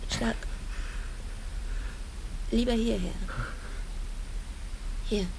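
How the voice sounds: In a put-on character voice, a woman with a fairly high pitch and vocal fry speaks at a very slow pace with fairly even intonation over clear background noise.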